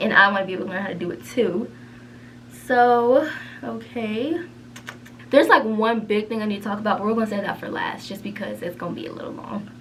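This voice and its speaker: A woman's fairly high voice at a very fast pace yet with long, frequent pauses, plus audible room echo and noticeable background noise. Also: ordinary pitch variation, big swings in loudness. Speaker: beauty vlogger and cosmetology student. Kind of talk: casual chat. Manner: whispering.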